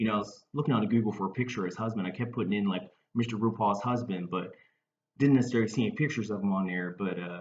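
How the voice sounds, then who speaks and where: A man speaks at a very fast pace with a Baltimore accent. His pitch sits in the medium range. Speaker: comedian. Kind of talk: casual talk to camera. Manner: hesitant, rambling.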